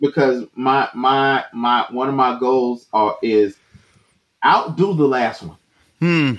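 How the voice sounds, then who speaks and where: A man speaks at a very slow pace. His pitch sits in the middle range. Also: ordinary pitch variation. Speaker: hip hop artist. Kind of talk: casual interview.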